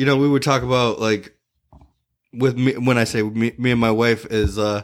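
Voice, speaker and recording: A man of medium pitch with a Michigan accent, in a very clean recording over a silent background. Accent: Midwestern American (Michigan). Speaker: podcast co-host, comedian. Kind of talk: casual chat.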